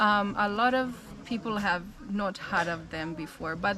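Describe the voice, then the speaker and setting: This voice has an American accent and ordinary pitch variation. Room echo can be heard. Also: woman. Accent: American accent, sometimes uses Kenyan. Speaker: missionary. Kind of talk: casual interview chat.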